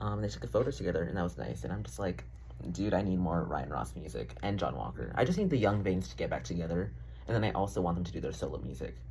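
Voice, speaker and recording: Very fast speech from a man with a very deep, low pitch, vocal fry, very wide pitch swings and audible room echo. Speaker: vlogger. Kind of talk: casual vlog monologue. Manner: casual, filler-heavy.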